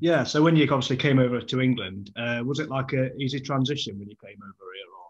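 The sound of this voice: A man speaks fast at a medium pitch, with ordinary pitch variation. Room echo is audible.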